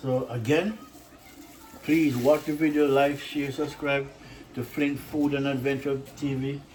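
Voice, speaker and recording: The speech moves at a fairly slow pace with long, frequent pauses, set against noticeable background noise and audible room echo. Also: man, fairly high pitch for a man. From Jamaica. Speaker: cooking channel host. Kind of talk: casual cooking vlog. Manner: animated.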